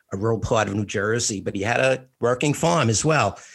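The recording is very clean, with a silent background. A man with a New York accent speaks at a fairly low pitch and a moderate pace. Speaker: podcast co-host, retired school administrator. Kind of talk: casual interview conversation.

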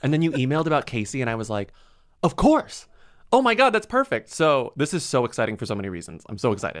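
Speaking very fast in an American accent, a man's fairly high voice moves through very wide pitch swings. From Texas (small town, San Antonio). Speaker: author and podcast co-host. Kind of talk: casual chat.

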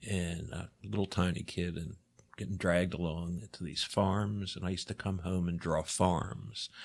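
Recorded very cleanly against a silent background, a man with an American accent talks at a moderate pace. His pitch is very deep and low, with ordinary pitch variation. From US, Baltimore, Maryland. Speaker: artist. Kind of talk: interview.

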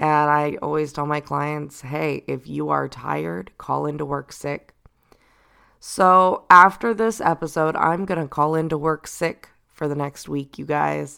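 On a very clean recording with a silent background, a woman speaks at a fairly slow pace. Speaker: podcast host and spiritual guide. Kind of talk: solo reflective talk.

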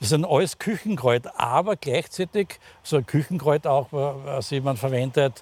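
The voice is somewhat breathy, with ordinary pitch variation and a fairly slow pace. The sound is dry and close, with no echo. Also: man, fairly high pitch for a man. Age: 60s. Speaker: pharmacist. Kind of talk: casual conversational interview. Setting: outdoors in a rooftop garden. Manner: halting, many fillers.

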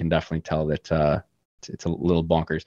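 A man speaks with a Canadian accent. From Canada, Toronto. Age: 20s. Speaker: crypto gaming startup executive. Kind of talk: podcast interview.

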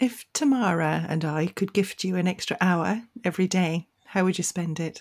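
A woman speaks in a normal speaking voice at medium pitch and moderate pace, with ordinary pitch variation and hardly any pauses. The recording is very clean with a silent background. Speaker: podcast co-host. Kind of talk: casual interview.

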